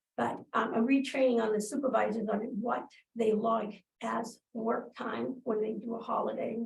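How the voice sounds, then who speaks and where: A fairly high, flat, monotone woman's voice at a moderate pace, with audible room echo. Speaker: county HR staff presenting to commissioners. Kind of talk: public meeting report. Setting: county courtroom meeting with Zoom.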